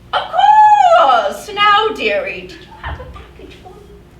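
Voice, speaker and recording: Slight echo surrounds a put-on character voice pitched extremely high and delivered at a fairly slow pace. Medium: stage play. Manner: fussy, affectionate.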